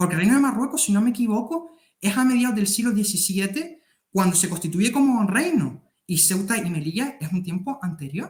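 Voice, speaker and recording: A man's high-pitched voice, fairly quick in pace, with lively intonation. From Canary Islands. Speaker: military affairs youtuber. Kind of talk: interview. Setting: video call.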